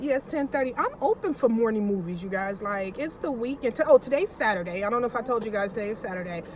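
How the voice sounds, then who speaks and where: Over noticeable background noise, a woman with a fairly high pitch and an animated tone talks at a fairly quick pace with ordinary pitch variation. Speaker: vlogger. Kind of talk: casual vlog chat.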